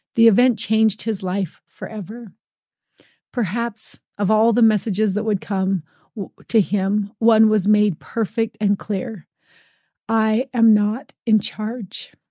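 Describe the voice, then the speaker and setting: A somewhat breathy woman speaks very slowly at a fairly high pitch, her tone dark and mellow. Her intonation is fairly even, and the sound is dry and close with no echo. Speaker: podcast host. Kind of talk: interview conversation.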